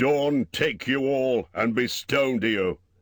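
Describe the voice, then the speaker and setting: A man puts on a character voice at a medium pitch. He speaks at a fairly slow pace in a very clean recording with a silent background. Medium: read story. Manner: wry, commanding.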